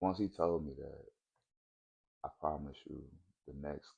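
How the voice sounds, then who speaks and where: A soft-spoken man with vocal fry talks at a fairly slow pace, his pitch very deep and low. His tone is dark and mellow, and his intonation stays fairly even. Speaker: vlogger. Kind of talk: casual monologue vlog.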